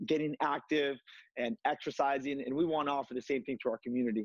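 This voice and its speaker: A man speaks at a very fast pace. His intonation stays fairly even over a quiet background. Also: dry sound with no echo. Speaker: martial arts instructor. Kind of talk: TV interview, leading a workout demo. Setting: video call. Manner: hesitant, frequent filler words.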